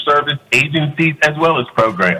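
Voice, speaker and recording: A man with an American accent speaks at a moderate pace while noticeable background noise carries on behind him. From Florida. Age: 60s. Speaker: community center board chair, public commenter. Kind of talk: prepared public comment statement. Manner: formal.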